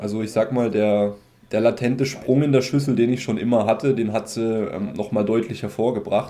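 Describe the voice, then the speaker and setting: The man's dark, mellow tone carries a monotone, flat intonation at a moderate pace. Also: medium pitch for a man. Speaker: personal trainer, former soldier. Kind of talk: casual interview chat.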